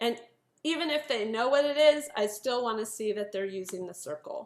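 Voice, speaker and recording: In a plain, everyday voice, a woman speaks at a moderate pace with lively intonation and a fairly high pitch. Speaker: piano teacher giving a workshop. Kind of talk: online workshop presentation. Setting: video call.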